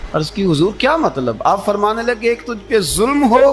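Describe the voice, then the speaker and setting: A man speaks over noticeable background noise. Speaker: Islamic preacher giving a sermon. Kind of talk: religious sermon (bayan) to an audience.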